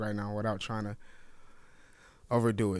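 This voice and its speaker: Here a man speaks at a very fast pace. His intonation is monotone and flat. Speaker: forex trading streamer. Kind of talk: live trading stream commentary. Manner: mellow, subdued; hesitant, many fillers.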